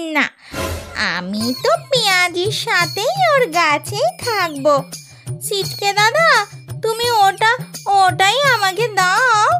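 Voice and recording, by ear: An extremely high-pitched cartoonish character voice at a very slow pace, with clear music in the background.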